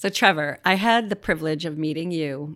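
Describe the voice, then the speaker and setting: This woman has an unremarkable speaking voice, fairly low in pitch. She talks at a fairly quick pace with ordinary pitch variation. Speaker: podcast co-host, suicide loss survivor. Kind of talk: casual interview.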